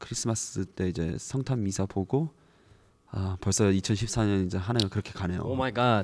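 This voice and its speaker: A man speaks in an unremarkable speaking voice at a fairly low pitch. His pace is moderate and his pitch varies in an ordinary way. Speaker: podcast host. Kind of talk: casual chat.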